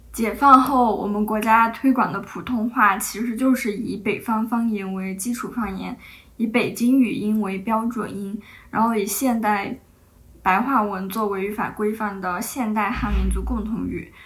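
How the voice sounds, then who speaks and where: At a fairly slow pace, a woman with a fairly high pitch speaks in fairly even intonation, with audible room echo around her. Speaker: podcast host. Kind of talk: casual chat.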